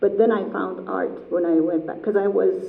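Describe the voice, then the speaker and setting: Someone with an Iranian accent speaks at a moderate pace, with audible room echo and noticeable background noise. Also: woman. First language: Persian. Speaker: artist. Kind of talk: artist talk Q&A.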